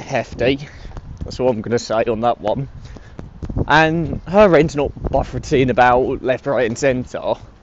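Speaking with a British accent, a man at a medium pitch moves at a fairly slow pace, with ordinary pitch variation and long, frequent pauses. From UK. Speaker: podcast host. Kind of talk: casual chat. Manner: halting.

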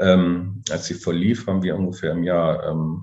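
The man has a very deep, low pitch and fairly even intonation. He speaks at a fairly slow pace. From southern Lower Saxony, Germany. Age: 40s. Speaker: farmer. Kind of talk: interview. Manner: halting, many fillers and repetitions.

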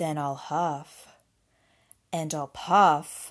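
Using a put-on character voice, a woman talks at a very slow pace with a low pitch and fairly even intonation.

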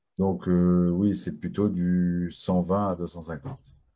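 A man's very deep, low voice with a dark, mellow tone and ordinary pitch variation. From France. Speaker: talk show host. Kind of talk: live online talk show. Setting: video call.

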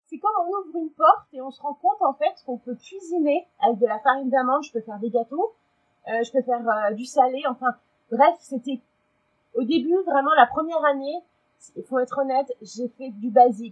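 Speaking at a moderate pace, a woman uses a high pitch and lively intonation, with big swings in loudness. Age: 40s. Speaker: communications agency employee, Instagram keto blogger. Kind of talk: testimony. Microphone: technical problem, low volume.

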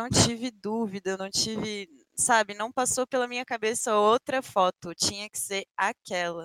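A woman's unremarkable speaking voice, fairly high in pitch with ordinary variation, at a moderate pace in a dry, close sound with no echo. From Brasília, Brazil. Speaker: Apex Legends streamer. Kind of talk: casual interview. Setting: live stream.

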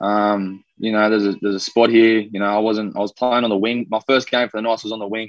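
The voice runs at a very fast pace with hardly any pauses and an Australian accent. Its intonation is monotone and flat, and the sound is dry and close with no echo. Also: man, fairly low pitch for a man. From Australia, raised from age two (born New Zealand). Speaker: professional rugby league player. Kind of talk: casual interview.

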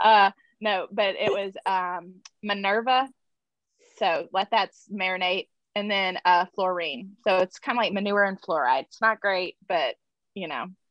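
A woman with a Southern US accent talks at a fairly slow pace with ordinary pitch variation. Her loudness swings widely, and she takes long, frequent pauses. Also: medium pitch for a woman. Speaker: podcast host. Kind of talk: casual chat.

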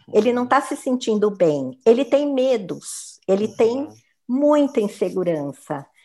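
Fairly high in pitch, a woman's voice carries a dark, mellow tone and very wide pitch swings. She speaks at a fairly slow pace with big swings in loudness. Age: 60s. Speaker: human resources professional. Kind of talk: interview.

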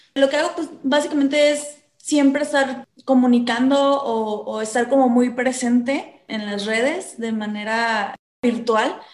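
High-pitched woman's voice, fairly slow, with hardly any pauses and ordinary pitch variation. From Mexico, southern Veracruz (Coatzacoalcos). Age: 20s. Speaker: eco influencer. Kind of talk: interview. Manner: halting, many repeated words.

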